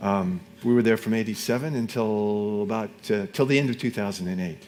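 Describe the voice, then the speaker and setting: This man speaks with an American accent. His pace is moderate. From US, Seattle, Washington. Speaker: former missionary, preacher. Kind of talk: sermon. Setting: church. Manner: halting.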